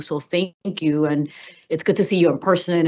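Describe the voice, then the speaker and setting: A woman speaks with a Spanish accent. Her pitch is very deep and low, and her intonation fairly even. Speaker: cannabis regulatory commissioner. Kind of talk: public meeting discussion. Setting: hybrid public meeting. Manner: casual, filler-heavy.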